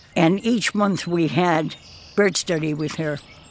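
Noticeable background noise is present throughout. The speaker goes fairly slowly, with ordinary pitch variation. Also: woman. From Block Island, Rhode Island. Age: 90s. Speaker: island resident. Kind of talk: interview.

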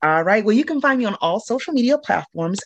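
Her intonation lively, a woman speaks with an American accent. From Illinois, US Midwest. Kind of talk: casual interview.

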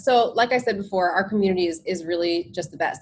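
This woman talks at a very fast pace. Her pitch is medium, with ordinary pitch variation. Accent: American. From New Jersey, US. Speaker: yoga and meditation instructor. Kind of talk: casual interview chat.

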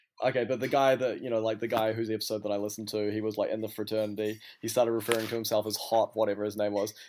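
A man with a New Zealand accent, very fast and with hardly any pauses, fairly low in pitch, his intonation monotone and flat. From New Zealand, Auckland. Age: 30s. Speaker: DJ and fashion brand owner. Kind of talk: casual chat.

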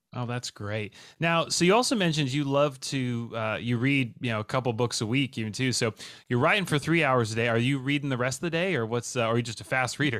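Very fast speech comes from a man whose pitch shows ordinary variation. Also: medium pitch for a man, very clean recording, silent background. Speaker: podcast host. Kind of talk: casual chat. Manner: upbeat, laughs often.

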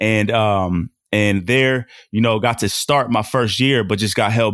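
A man with an American accent and a normal speaking voice talks at a fairly low pitch with ordinary pitch variation. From Portland, Oregon. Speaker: former football player and mentorship coach. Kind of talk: casual interview.

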